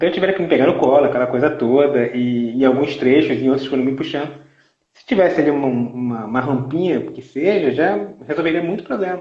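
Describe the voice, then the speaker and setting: The speaker talks at a fairly quick pace with ordinary pitch variation. Loudness swings widely, and there is audible room echo. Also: man, fairly high pitch for a man. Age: 40s. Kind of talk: casual live chat. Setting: online live stream. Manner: halting, repeats words.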